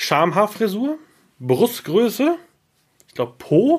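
An animated man speaks with a high pitch. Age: 30s. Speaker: podcast host. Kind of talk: casual chat.

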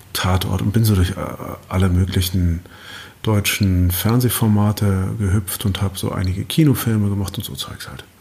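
Through noticeable background noise, a man at a fairly low pitch speaks at a moderate pace, with big swings in loudness. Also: ordinary pitch variation. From Berlin, Germany. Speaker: actor and author. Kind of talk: casual chat.

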